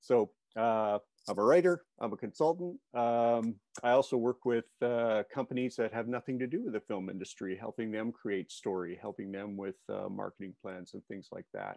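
Against a quiet background, a man with a dark, mellow tone speaks at a moderate pace with ordinary pitch variation and big swings in loudness, in a dry sound with no echo. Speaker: screenwriting juror and workshop leader. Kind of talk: interview. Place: home room. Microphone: earbuds.

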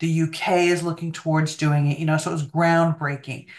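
A woman speaks in a normal speaking voice at a moderate pace, her pitch fairly low. Her intonation is fairly even, and the background is quiet. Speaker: remote guest. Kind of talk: interview answer. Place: home room. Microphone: video call.

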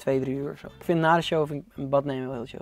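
A man speaks over faint music in the background. The sound is dry, with no echo. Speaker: interview guest. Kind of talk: interview answer. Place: studio. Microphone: lapel.

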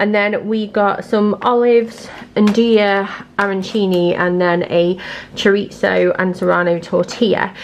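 A woman speaks at a fairly slow pace with few pauses and little pitch movement. Faint background noise can be heard. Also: medium pitch for a woman.

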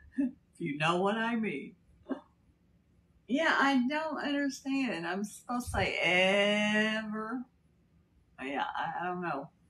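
Drawling in an American accent, a woman speaks at a very slow pace with lively intonation over light background noise. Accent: slight Kentucky accent with Texas drawl. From Texas. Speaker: livestreamer. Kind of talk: casual livestream chat. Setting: live stream. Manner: drawn-out drawl. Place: home room.

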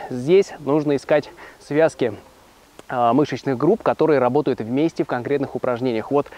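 The pace is moderate. A man talks, and the sound is dry with no echo. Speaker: fitness trainer. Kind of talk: tutorial. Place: forest. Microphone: lapel.

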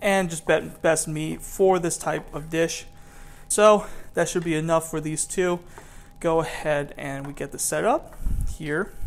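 The man talks at a fairly slow pace. His intonation stays fairly even. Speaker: home cook vlogger. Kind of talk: cooking tutorial. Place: kitchen.

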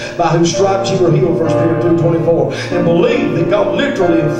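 Over loud background music and audible room echo, a man speaks at a very fast pace. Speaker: preacher. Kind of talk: sermon. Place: church.

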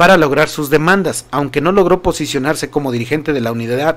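A man speaks with a fairly high pitch at a moderate speed. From Mexico. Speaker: political news commentator. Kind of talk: news commentary livestream. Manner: animated. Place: studio. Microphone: studio mic.

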